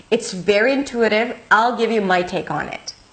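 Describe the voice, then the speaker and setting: A woman talks at a moderate pace in a fairly high pitch. Noticeable background noise runs behind her. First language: not English. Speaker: English teacher. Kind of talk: tutorial.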